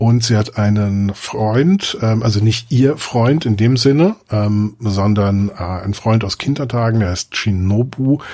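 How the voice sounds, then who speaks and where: Very slow yet with hardly any pauses, a man speaks at a medium pitch in a dark, mellow tone with ordinary pitch variation. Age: 50s. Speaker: film podcaster. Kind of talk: casual chat.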